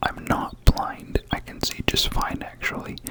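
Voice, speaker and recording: Fairly slow whispering against noticeable background noise. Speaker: ASMR creator. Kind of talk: casual talk to camera.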